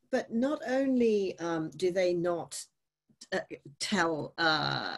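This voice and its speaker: A fairly low, somewhat breathy woman's voice with very wide pitch swings against a quiet background. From grew up outside Australia. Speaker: writer and event facilitator; event facilitator. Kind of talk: moderated author interview. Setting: online video event. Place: home room. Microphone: video call.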